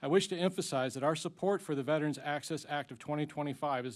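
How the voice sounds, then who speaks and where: This man has an American accent. He talks at a very fast pace. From Ozarks. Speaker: veterans advocate witness. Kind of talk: formal testimony. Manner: formal.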